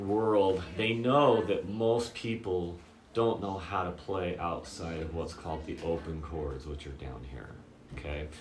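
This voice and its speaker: A man talks at a fairly slow pace with lively intonation, and the room echo is audible. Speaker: guitar teacher. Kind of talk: tutorial. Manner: casual, with many fillers.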